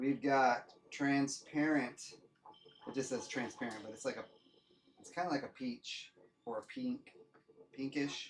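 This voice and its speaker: Speech comes at a fairly slow pace, broken by long, frequent pauses. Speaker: 3D printing youtuber. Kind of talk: livestream product showcase. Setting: livestream. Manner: loud; casual, hesitant.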